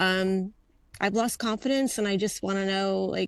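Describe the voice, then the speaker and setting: With an ordinary speaking voice, a woman talks at a moderate pace and medium pitch, her intonation fairly even, over a quiet background. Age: 60s. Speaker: webinar participant. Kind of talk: casual chat.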